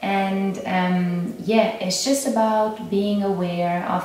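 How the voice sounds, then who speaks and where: In a room with audible echo and light background noise, a woman talks at a very slow pace. Her intonation stays fairly even. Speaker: yoga instructor and meditation guide. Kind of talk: casual intro talk to camera. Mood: calm, gentle. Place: home room. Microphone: camera far.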